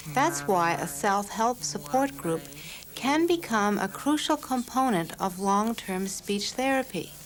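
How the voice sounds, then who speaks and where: A woman at medium pitch, with very wide pitch swings and a fairly slow pace, music in the background. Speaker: documentary narrator. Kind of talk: documentary narration.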